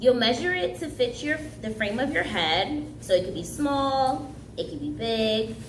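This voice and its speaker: A woman speaks at a fairly slow pace with very wide pitch swings, audible room echo and noticeable background noise around her. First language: Haitian Creole. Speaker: summer camp craft instructor. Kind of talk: craft tutorial.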